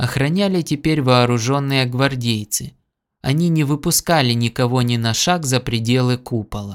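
Natural reading, ordinary pitch variation, and a quiet background

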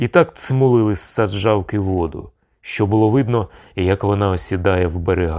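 Pitch varies in an ordinary way while reading aloud in a natural voice. Little sound comes from the background.

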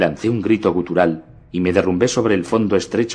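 A natural reading voice is heard here.

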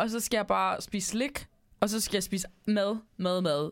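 A passage is read out loud. The reading is plain.

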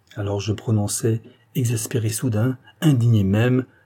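An unforced reading voice is what you hear. It reads the text out.

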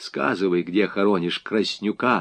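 A man speaks in a put-on character voice at a fairly slow pace, his pitch fairly low with ordinary variation. The tone is fairly bright, with vocal fry.

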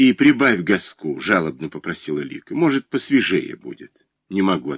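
With little noise behind it, a natural voice reads aloud.

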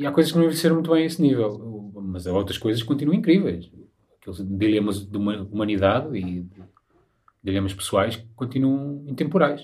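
At a fairly quick pace, a man with a medium-pitched, somewhat breathy voice talks with lively intonation. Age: 30s. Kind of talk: casual chat.

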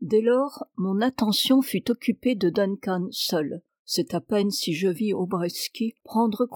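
Pitch moves in an ordinary way in a natural reading voice. Behind it, the background is quiet.

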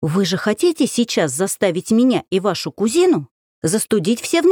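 An unforced reading voice is heard with a quiet background.

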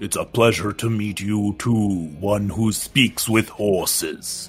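A man puts on a character voice at a fairly low pitch. He speaks at a fairly slow pace. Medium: actual play. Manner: formal, stiff.

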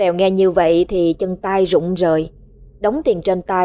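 The natural reading voice keeps a fairly even intonation.

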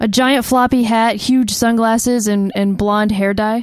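A woman with a normal speaking voice talks at a fairly slow pace in a fairly high pitch. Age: 30s. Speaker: podcast co-host. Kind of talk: casual chat. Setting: studio.

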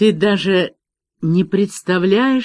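Pitch variation is ordinary in this natural reading voice. Nothing much can be heard behind it, as the background is quiet.

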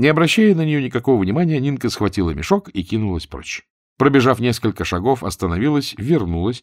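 A quiet backdrop behind plain reading aloud.

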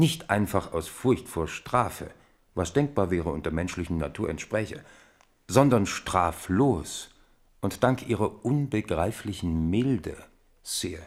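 A man puts on a character voice, low-pitched and slow with lively intonation. The recording is very clean, with a silent background.

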